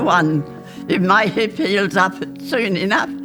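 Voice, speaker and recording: Music plays in the background. The speaker has an Australian accent. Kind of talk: interview answer.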